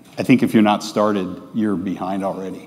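A man's voice at a fairly low pitch. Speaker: presenter. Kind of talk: conference talk. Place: stage. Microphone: lapel.

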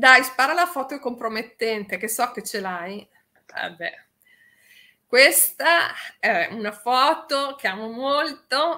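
A woman with a high, bright, sharp voice speaks very slowly in a raised, projected voice, using lively intonation, big swings in loudness, and long, frequent pauses. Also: quiet background. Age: 50s. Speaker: radio DJ. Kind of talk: casual chat. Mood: cheerful, joking. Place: home room.

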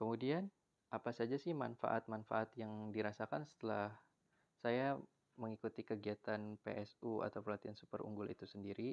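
An ordinary speaking voice from a man, fairly low in pitch, with ordinary pitch variation at a moderate pace, in a dry, close sound with no echo. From Indonesia, Serang, Banten. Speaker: university student. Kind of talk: class presentation. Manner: formal.

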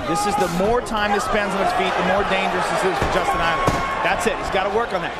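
Speech rushes along at a very fast pace with hardly any pauses over loud background noise. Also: man. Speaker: fight color commentator. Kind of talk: live commentary.

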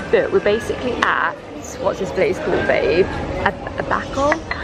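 Music plays in the background as a woman speaks, the sound dry with no echo. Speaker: travel vlogger. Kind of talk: casual vlog chat. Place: bar. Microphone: phone near.

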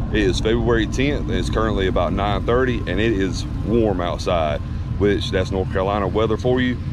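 Delivered at a fairly quick pace with ordinary pitch variation, the dry sound has no echo, though noticeable background noise comes through. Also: man. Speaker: off-road vlogger. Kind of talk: casual vlog chat. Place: open country. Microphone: phone near.

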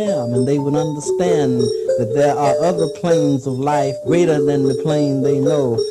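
A man's fairly high voice at a fairly slow pace, with music in the background. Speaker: poet and musician. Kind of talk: poetry reading. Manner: sincere, full of conviction.

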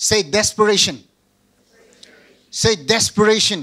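Pitched high, a man speaks at a moderate pace in a bright, sharp tone. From Northeast India. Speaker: pastor. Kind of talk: sermon. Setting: video call. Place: church. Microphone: handheld.

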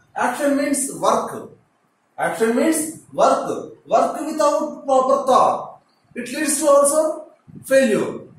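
Speaking at a very slow pace, a man with a high-pitched voice is heard amid strong room echo. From India, Telugu-speaking states. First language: Telugu. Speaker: teacher. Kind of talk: lecture. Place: classroom.

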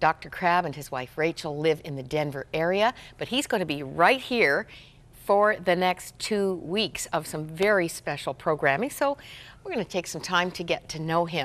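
Her loudness swinging widely, a woman speaks at a moderate pace with lively intonation and a fairly low pitch. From Canada. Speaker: TV host. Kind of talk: interview. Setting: studio. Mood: warm, smiling. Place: studio. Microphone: lapel.

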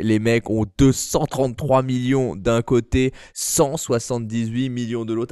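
The tone is animated. The background is quiet. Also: man. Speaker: gaming youtuber. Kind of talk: gameplay commentary video.

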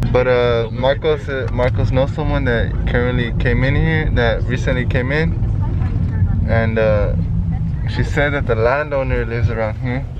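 There is loud background noise behind a man whose voice has a dry sound with no echo. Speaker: vlogger. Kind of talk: casual vlog chat. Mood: playful, upbeat. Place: car. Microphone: phone near.

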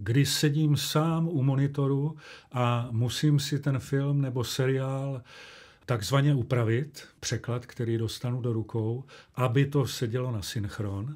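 A man's medium-pitched voice at a very slow pace, on a very clean recording with a silent background. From Czechia, Olomouc (Moravia). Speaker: actor and dubbing director. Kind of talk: interview.

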